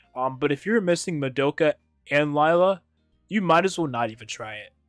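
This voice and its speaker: A man at a fairly quick pace with ordinary pitch variation, dry sound with no echo, and faint music in the background. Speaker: gaming content creator. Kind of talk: gameplay commentary and guide.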